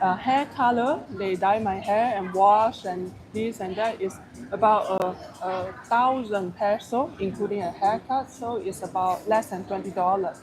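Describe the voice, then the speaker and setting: Someone with a Malaysian accent speaks at a fairly slow pace. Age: middle-aged. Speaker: travel vlogger. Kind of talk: casual chat. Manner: halting.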